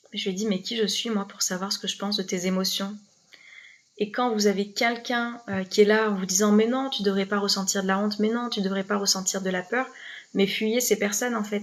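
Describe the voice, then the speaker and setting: Over a quiet background, a woman speaks at a fairly quick pace and a medium pitch, her intonation flat and monotone. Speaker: life coach. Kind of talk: live stream talk to viewers. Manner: fast; hesitant, many fillers and repeats.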